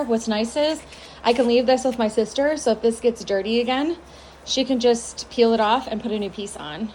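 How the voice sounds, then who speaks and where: A woman with a fairly high voice talks at a moderate speed, her pitch varying in an ordinary way. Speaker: home makeover YouTuber. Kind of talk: casual vlog talk. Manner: speaking quietly.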